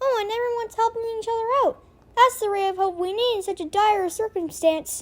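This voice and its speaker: A squeaky, extremely high cartoonish character voice at a fairly quick pace. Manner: emotional, excitable.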